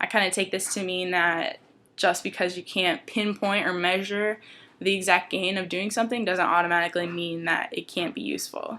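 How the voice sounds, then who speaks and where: Over a silent background in a very clean recording, a woman talks at a fairly quick pace. Her tone is bright and sharp, with fairly even intonation. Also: medium pitch for a woman. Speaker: college student. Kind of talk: class presentation talk to camera. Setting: home, dryer noise in background. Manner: hesitant, many fillers.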